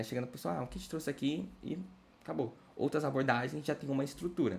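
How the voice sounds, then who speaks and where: A man with a medium-pitched voice and vocal fry talks at a fairly quick pace. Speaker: study group instructor. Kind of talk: lecture. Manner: fast.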